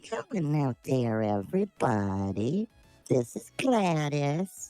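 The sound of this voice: A put-on character voice, low-to-middle in pitch and very slow, over faint background music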